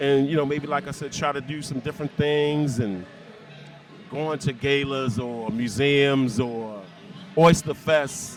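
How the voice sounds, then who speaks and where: A man at a rather unhurried pace, with clear background noise. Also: fairly high pitch for a man, ordinary pitch variation. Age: 60s. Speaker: widower. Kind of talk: street interview answer.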